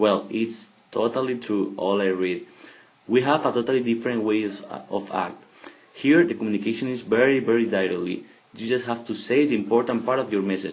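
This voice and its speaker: This man has a Spanish accent and a medium pitch. He talks at a fairly quick pace with ordinary pitch variation. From Spain. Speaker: exchange student. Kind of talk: podcast monologue. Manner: halting.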